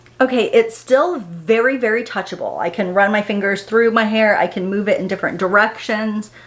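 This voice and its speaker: A woman's fairly high voice at a fairly quick pace, hardly any pauses, and ordinary pitch variation. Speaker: beauty vlogger. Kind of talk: casual tutorial vlog. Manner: fast.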